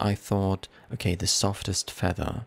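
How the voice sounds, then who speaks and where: A man with a fairly low pitch speaks at a moderate pace, his voice somewhat breathy. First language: not English. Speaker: let's play gamer. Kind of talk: gameplay commentary. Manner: halting, self-correcting.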